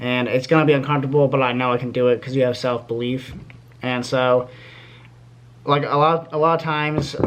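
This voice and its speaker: Over noticeable background noise, a man at a medium pitch talks fairly quickly in a monotone, flat way, with long, frequent pauses. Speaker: YouTuber giving life advice. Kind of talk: casual vlog talk to camera. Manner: fast; halting, many fillers.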